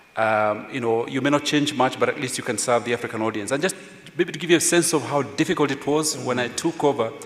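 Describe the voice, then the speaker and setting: A man with a Kenyan accent speaks at a fairly high pitch with ordinary pitch variation over noticeable background noise. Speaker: veteran journalist, former editor. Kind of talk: panel discussion.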